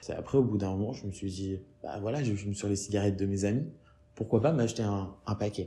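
A somewhat breathy voice, dark and mellow in tone, at a fairly quick pace. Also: man, fairly low pitch for a man, ordinary pitch variation. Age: 20s. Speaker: interviewee, smoker. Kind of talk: interview testimony. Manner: halting, many repetitions.

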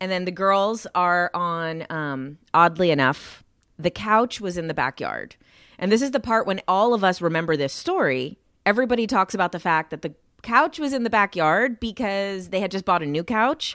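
A woman's ordinary speaking voice with an American accent, medium pitch, lively intonation and moderate pace, on a very clean recording with a silent background and a dry, close sound with no echo. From New Jersey, Jersey City. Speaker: social media content creator. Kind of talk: casual chat.

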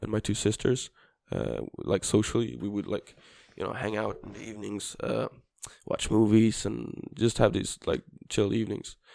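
Dark, mellow tone from a man with a Swedish accent, fairly low in pitch with vocal fry, fairly even intonation and a moderate pace. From southern Sweden (Skåne). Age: 20s. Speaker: preschool teacher student. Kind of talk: casual chat. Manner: halting.

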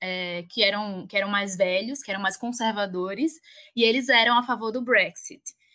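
A woman with a northeastern Brazilian accent speaks at a moderate pace with ordinary pitch variation. Her tone is bright and sharp, against a quiet background. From Alagoas, northeast Brazil. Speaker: pharmacist and doctoral researcher. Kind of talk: interview.

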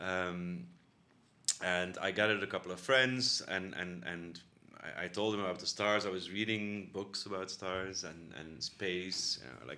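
Speaking at a very deep, low pitch, a man has a bright, sharp tone and big swings in loudness. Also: ordinary pitch variation, moderate pace. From Belgium, Bruges, West Flanders. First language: Dutch (Flemish). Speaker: university institute director. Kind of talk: interview. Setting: office. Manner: halting.

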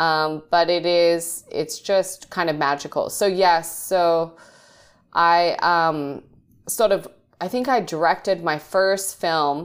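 At a very slow pace and with fairly even intonation, a woman of fairly low pitch speaks on a very clean recording with a silent background. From Australia. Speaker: film director. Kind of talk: interview.

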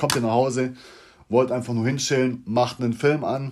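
This man talks at a moderate pace. His speed stays in the middle range. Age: 30s. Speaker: podcaster. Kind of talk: casual monologue. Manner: halting.

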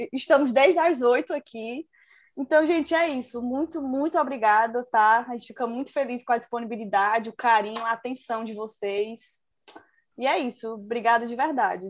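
A woman with a high pitch speaks at a moderate pace, showing ordinary pitch variation and big swings in loudness. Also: quiet background. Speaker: podcast host, university student. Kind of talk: casual chat. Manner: animated.

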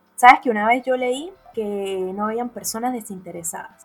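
A woman talks at a moderate pace with fairly high pitch and ordinary pitch variation. Noticeable background noise is present. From Venezuela. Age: 20s. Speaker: podcast co-host, lawyer and tarot reader. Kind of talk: casual chat.

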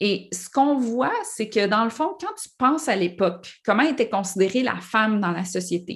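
A woman speaks at a fairly slow pace with lively intonation. Her voice is somewhat breathy. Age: 40s. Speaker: author. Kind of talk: interview.

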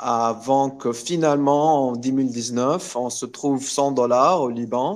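Speaking very slowly with hardly any pauses, a man uses a medium pitch and fairly even intonation. The background is quiet. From Lebanon (Beirut), raised around Middle East. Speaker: Bitcoin activist. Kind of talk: interview. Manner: halting, many repetitions.

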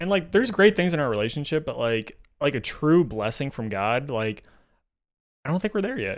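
Animated and fairly quick, a man with an American accent speaks in a fairly high pitch with very wide pitch swings. The recording is very clean, with a silent background. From Maryland, near Washington DC. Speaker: youth leader. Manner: animated, joking.

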